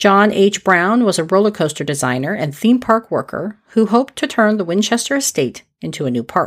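A woman talks at a moderate pace with hardly any pauses, her medium pitch making very wide swings. Vocal fry runs through her voice. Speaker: history podcast host. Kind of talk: history documentary narration, scripted-sounding storytelling. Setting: solo podcast recording. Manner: steady, measured, clear storyteller pacing; friendly, lightly conversational.

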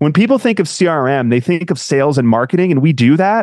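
An ordinary speaking voice with an American accent moves through lively intonation. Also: man, dry, close sound with no echo. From US Northeast, Connecticut. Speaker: marketing manager at a software company. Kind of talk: interview chat.

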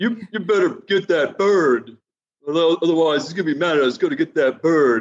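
At a moderate pace, a man does a put-on character voice pitched high. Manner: mock-dog, speaking like an animal giving orders.

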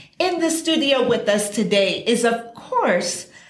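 Noticeable background noise surrounds a woman speaking with lively intonation. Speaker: radio announcer. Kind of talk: scripted announcement. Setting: studio.

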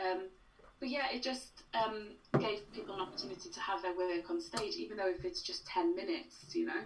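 With a Welsh accent, the speaker talks fairly quickly with very wide pitch swings amid audible room echo. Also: woman, medium pitch for a woman. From Wales. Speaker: playwright. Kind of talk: casual interview.

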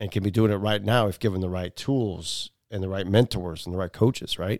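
This is an unremarkable speaking voice at a fairly quick pace. The intonation stays fairly even. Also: man. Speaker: podcast host and father. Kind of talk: scripted monologue; casual family chat.

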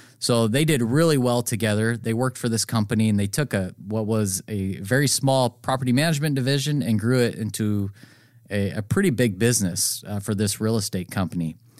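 On a very clean recording with a silent background, a man with an American accent and a normal speaking voice talks at a fairly quick pace, medium pitch and ordinary pitch variation. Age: 30s. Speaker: real estate broker and property manager. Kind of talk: podcast monologue. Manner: casual, with fillers and restarts.

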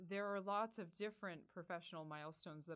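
A woman talks very fast with an American accent. Her pitch varies in an ordinary way. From rural Pennsylvania. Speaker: university administrator. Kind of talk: interview.

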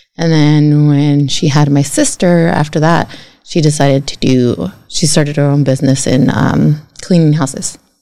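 With a Spanish accent, a woman speaks at a moderate pace in a very deep, low voice of dark, mellow tone. Her intonation stays fairly even. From California Central Coast (Guadalupe), Mexican-American family. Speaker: college trustee. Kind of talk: interview.

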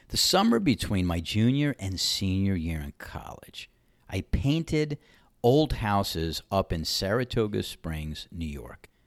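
With a fairly low pitch that swings very widely, a man speaks fairly slowly in a dry, close, echo-free recording that is very clean with a silent background. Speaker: podcast host and ranter. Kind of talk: opinionated monologue rant, with a story-telling segment. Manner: opinionated, sarcastic.

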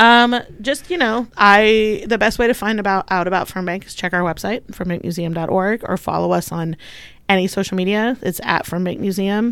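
A woman has a plain, everyday voice, medium in pitch with ordinary pitch variation, at a moderate pace. The recording is very clean, with a silent background. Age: 30s. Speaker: museum communications manager. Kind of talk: casual interview.

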